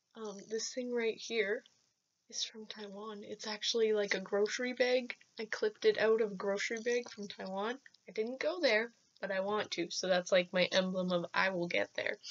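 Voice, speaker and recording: At a moderate pace, a woman talks with fairly even intonation and a fairly high pitch. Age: 20s. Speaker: vlogger. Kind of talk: casual vlog monologue. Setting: self-filmed on laptop camera. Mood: cheerful, animated. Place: home room. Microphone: webcam.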